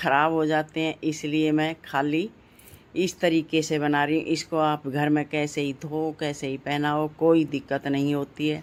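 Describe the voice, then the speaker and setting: A woman talks with a very deep, low pitch at a fairly slow pace. The recording is very clean, with a silent background. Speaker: devotional craft YouTuber. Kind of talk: sewing tutorial. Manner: slow, step-by-step.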